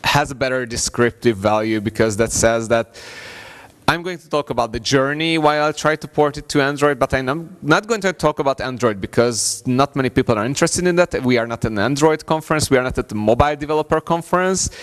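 A man talks at a very fast pace with big swings in loudness against a quiet background. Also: ordinary pitch variation. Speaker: conference presenter. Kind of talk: conference talk. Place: hall.

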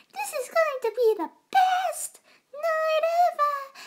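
A female-sounding put-on character voice, extremely high in pitch for a woman, at a fairly slow pace. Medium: dub. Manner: excited, upbeat.

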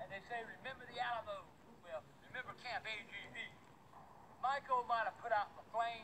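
A man talks at an extremely high pitch and a fairly quick pace. His loudness swings a lot over light background noise. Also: ordinary pitch variation. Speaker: backyard vlogger. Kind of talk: casual vlog rant. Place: garden.

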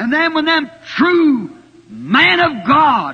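In an American accent, a man uses a raised, projected voice with lively intonation. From United States. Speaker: preacher. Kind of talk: sermon preached to a congregation. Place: church.

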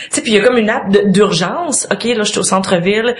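Over noticeable background noise, a woman at medium pitch talks at a very fast pace with ordinary pitch variation. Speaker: guest. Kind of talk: casual chat. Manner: talkative.

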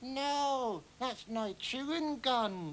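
A put-on, female-sounding character voice at a high pitch, with clear background noise. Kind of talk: children's TV comedy. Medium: comedy sketch. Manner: comic overacting.

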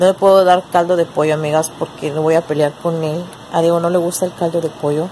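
Over light background noise, a soft-spoken woman talks at a fairly quick pace in a weary tone, her fairly low voice held to a monotone, flat intonation. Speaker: vlogger. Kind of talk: casual vlog chat. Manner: soft, weary voice lying in bed. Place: home room. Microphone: phone near.

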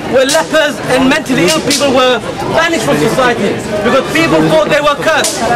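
Fairly quick speech from a man, crowd noise in the background. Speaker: presenter. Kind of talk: educational demonstration talk to audience. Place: tent. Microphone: camera far.

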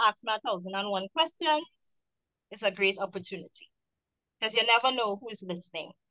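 Talking at a fairly quick pace with a Trinidadian accent, a woman has lively intonation and a bright, sharp tone. The sound is dry and close with no echo. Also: big swings in loudness. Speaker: waste management entrepreneur, panel moderator. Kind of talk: panel discussion.

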